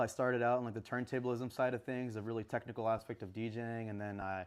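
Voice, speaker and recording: His intonation is fairly even. The man speaks at a very fast pace. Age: 20s. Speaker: DJ and music producer. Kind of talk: casual interview chat. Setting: live stream show.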